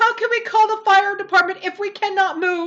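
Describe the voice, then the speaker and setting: This is a put-on character voice that sounds squeaky. It moves at a moderate pace. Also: woman. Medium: read story.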